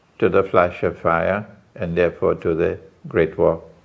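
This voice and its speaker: A man at a very slow pace. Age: 70s. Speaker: Islamic scholar. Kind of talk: interview. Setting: London. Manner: emphatic.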